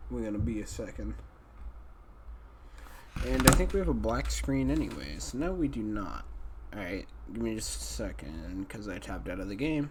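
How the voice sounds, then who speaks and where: Noticeable background noise, a moderate pace, and long, frequent pauses. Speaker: game streamer. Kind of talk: casual livestream talk while building a game level.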